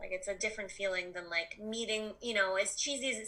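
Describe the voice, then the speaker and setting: Noticeable background noise runs through the clip. A woman talks in an American accent. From Colorado. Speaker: comedian, podcast guest. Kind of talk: casual chat. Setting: video call. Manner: hesitant, many fillers.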